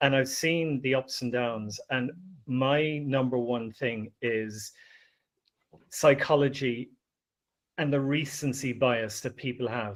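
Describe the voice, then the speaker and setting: The speech moves at a very slow pace with fairly even intonation, broken by long, frequent pauses. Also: man, medium pitch for a man. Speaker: panelist on personal finance. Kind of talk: panel discussion. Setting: live stream panel.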